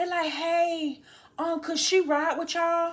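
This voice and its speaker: A woman with an animated tone at a moderate pace. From Georgia, US South. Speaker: storytime vlogger. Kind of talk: casual storytelling.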